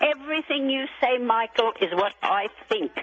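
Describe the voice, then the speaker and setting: Lively intonation from a woman, over noticeable background noise. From Australia. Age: 80s+. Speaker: radio caller. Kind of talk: call-in talk radio.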